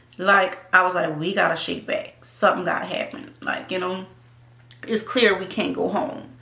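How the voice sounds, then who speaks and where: A woman speaks in a New Orleans accent at a moderate pace and medium pitch. Her intonation is lively, and the room echo is audible. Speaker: YouTuber and actress. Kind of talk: casual chat.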